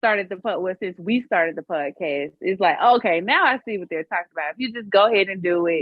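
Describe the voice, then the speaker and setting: Speaking at a very fast pace with hardly any pauses, a woman with a Southern US accent keeps to a medium pitch. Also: ordinary pitch variation. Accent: country, Southern US. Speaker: podcast co-host. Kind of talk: casual chat.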